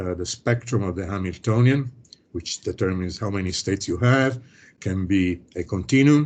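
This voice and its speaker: Ordinary pitch variation comes through clearly against a quiet background. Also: man. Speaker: professor. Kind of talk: lecture. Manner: fast; hesitant, many fillers.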